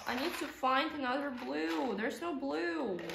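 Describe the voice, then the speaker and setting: A woman at a very slow pace amid noticeable background noise. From Russia. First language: Russian. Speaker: vlogger. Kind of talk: casual conversation. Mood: playful, light. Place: home room. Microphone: camera far.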